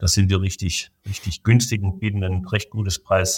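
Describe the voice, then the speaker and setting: A man's fairly low, somewhat breathy voice, monotone and flat, at a fairly quick pace over a very clean recording with a silent background. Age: 40s. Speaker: business association president and management consultant. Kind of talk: interview. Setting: studio.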